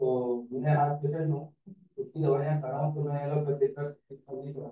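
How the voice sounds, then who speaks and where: This man's somewhat breathy voice has a fairly high pitch and a dark, mellow tone, with fairly even intonation and big swings in loudness. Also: moderate pace. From Meerut, western Uttar Pradesh. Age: 60s. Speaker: patient. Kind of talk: testimony.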